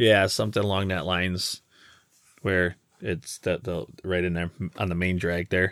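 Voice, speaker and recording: A man speaks with an American accent in a very deep, low voice. His intonation stays flat and monotone, broken by long, frequent pauses. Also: moderate pace, very clean recording, silent background. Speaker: podcast co-host. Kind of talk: casual chat. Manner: loud.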